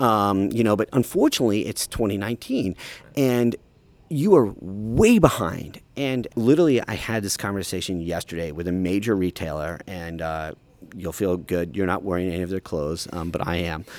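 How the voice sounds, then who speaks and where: A man with an American accent and an ordinary speaking voice, fairly low in pitch, with lively intonation at a moderate pace. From rural Ohio. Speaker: sustainability consultant and author. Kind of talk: interview.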